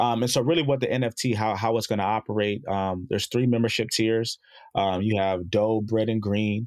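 A plain, everyday voice from a man with an American accent, medium pitch, fairly quick pace, fairly even intonation and very even loudness. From Chicago and South Jersey. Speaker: former football player, startup co-founder. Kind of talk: interview.

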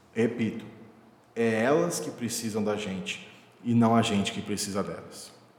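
Audible room echo surrounds a man whose fairly low, monotone and flat voice moves at a moderate pace with long, frequent pauses. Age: 20s. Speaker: podcast host, software architect. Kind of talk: solo podcast monologue.

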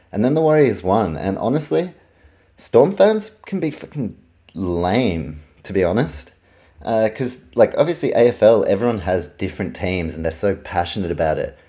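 With a New Zealand accent, a man speaks at a moderate pace in a fairly low pitch and a dark, mellow tone, his pitch swinging very widely. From New Zealand, Auckland. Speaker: sports podcaster. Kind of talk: solo sports podcast monologue. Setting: home recording, fan turned off.

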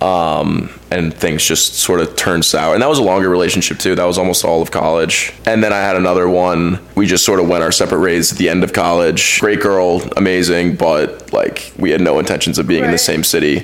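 A man with a very deep, low pitch speaks in a Texan accent at a fairly quick pace, with hardly any pauses. His intonation is fairly even and his loudness very even, with noticeable background noise. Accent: Texan American. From Texas, Dallas. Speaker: graduate student, former college athlete. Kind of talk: casual chat. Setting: family home.

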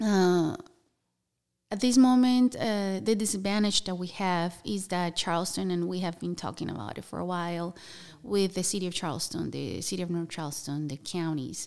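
With a Spanish accent, a woman speaks at a moderate pace and fairly low pitch, her pitch varying in an ordinary way. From Colombia (Bogota). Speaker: nonprofit housing program staff. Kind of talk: interview. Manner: halting.

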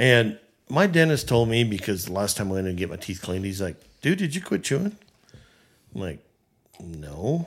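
The recording is very clean with a silent background, and a man speaks with lively intonation. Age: 60s. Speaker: business owner. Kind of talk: casual chat.

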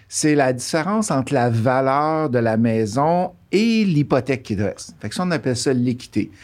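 Speaking in a Quebec accent at medium pitch and a moderate pace, a man uses lively intonation and hardly any pauses, in a very clean recording with a silent background. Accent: Québécois French. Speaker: real estate coach. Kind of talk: podcast interview.

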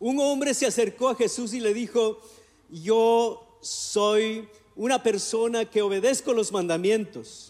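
The speaker's loudness stays very even throughout. The pace is fairly slow, and the intonation is fairly even. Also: man, high pitch for a man. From Ecuador. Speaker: pastor. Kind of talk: sermon.

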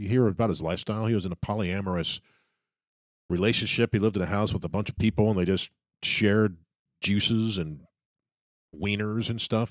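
The delivery is fairly quick with fairly even intonation, broken by long, frequent pauses. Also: man, fairly low pitch for a man. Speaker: podcast co-host. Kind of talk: casual chat.

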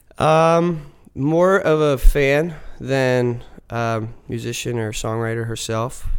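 In an American accent, a man speaks at a very slow pace with a medium pitch and ordinary pitch variation, with audible room echo around him. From Philadelphia area, US. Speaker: folk rock musician. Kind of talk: casual interview chat. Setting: studio.

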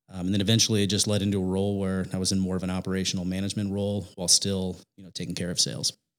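A man with a Midwestern American accent and a very deep, low pitch speaks at a very fast pace with hardly any pauses. His intonation is monotone and flat, his loudness swings widely, and the recording is very clean, with a silent background. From Indiana. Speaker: digital marketing company manager. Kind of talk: interview.

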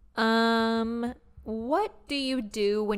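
In an ordinary speaking voice, a woman talks with a fairly high pitch. Her pitch variation is ordinary. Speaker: podcast co-host. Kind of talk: casual chat.

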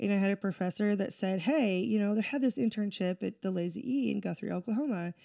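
In an unremarkable speaking voice, a woman with an American accent talks at a fairly quick pace and medium pitch, on a very clean recording with a silent background. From southeastern Washington State. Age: 30s. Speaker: real estate agent. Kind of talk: casual chat.

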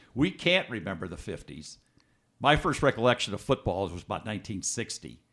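A man with an American accent, fairly low in pitch with very wide pitch swings, vocal fry and a fairly quick pace, in a very clean recording with a silent background. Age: 70s. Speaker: author. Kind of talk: interview.

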